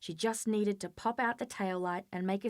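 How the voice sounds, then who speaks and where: On a very clean recording with a silent background, a plain, everyday voice talks at a moderate pace with fairly even intonation. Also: woman. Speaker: author. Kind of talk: dramatic audiobook reading.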